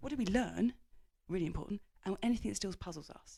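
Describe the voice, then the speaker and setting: A woman talks at a very fast pace with vocal fry. Her pitch sits at a medium level. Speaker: business executive and author. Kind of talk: interview.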